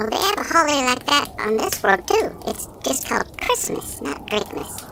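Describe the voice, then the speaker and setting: Over clear background noise, a put-on character voice with a fairly high pitch speaks at a moderate pace. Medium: audio drama. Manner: skeptical, wry.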